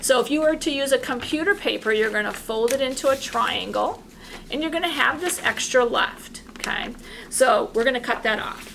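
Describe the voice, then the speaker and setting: With noticeable background noise behind her, a woman talks at a moderate pace in a high pitch with ordinary pitch variation. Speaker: art teacher. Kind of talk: tutorial.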